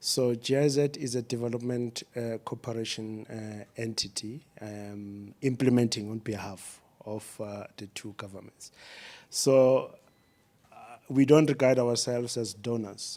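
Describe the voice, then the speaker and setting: A man talks at a fairly slow pace and a medium pitch, with a dark, mellow tone. His intonation stays fairly even while his loudness swings widely. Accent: South African. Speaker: development agency official. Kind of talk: panel discussion.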